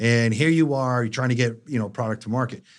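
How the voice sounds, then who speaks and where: On a very clean recording with a silent background, a man with a Boston accent speaks at medium pitch with ordinary pitch variation. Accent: thick Boston. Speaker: life science industry consultant. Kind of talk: podcast interview. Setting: studio.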